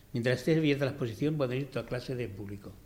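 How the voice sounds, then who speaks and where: Audible room echo surrounds a man whose somewhat breathy, medium-pitched voice keeps fairly even intonation. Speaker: cabinetmaker. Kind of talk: press conference.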